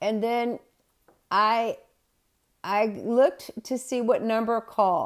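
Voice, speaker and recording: A woman speaks at a very slow pace with a Southern US accent, leaving long, frequent pauses. Her pitch is fairly high and her intonation fairly even. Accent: Southern US (Georgia). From US South. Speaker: spiritual medium and reverend, podcast host. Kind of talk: spiritual talk and storytelling.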